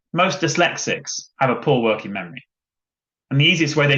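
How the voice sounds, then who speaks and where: Pitched fairly high, a man talks at a fairly quick pace. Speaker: education lawyer. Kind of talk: webinar presentation. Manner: fast.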